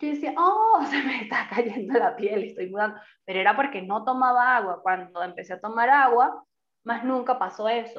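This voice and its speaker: A woman's fairly high voice at a moderate pace, a normal speaking voice. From Venezuela. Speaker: podcast co-host. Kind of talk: casual chat.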